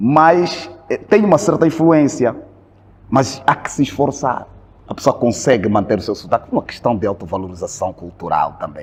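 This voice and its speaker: Pitch swinging very widely, a man talks at a moderate speed against noticeable background noise. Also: medium pitch for a man. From Angola. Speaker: Angolan immigrant in Brazil, video creator. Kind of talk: casual interview conversation. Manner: halting, repeats words.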